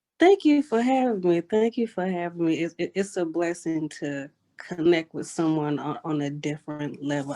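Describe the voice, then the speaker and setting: Her dark, mellow tone comes through on a very clean recording with a silent background as a woman with a Southern US accent speaks at a moderate pace with ordinary pitch variation. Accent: Southern American. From US South, Georgia (Savannah area), military family. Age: 30s. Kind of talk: interview.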